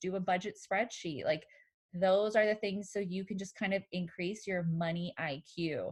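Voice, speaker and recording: A woman's voice comes through somewhat breathy. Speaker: therapist. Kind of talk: casual chat.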